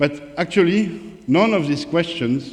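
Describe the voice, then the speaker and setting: Audible room echo carries a man's lively intonation, spoken with a strong French accent. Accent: thick French. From France, Paris. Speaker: author and independent researcher, former strategy consultant. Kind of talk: conference presentation. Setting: conference talk with audience. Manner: hesitant, many fillers.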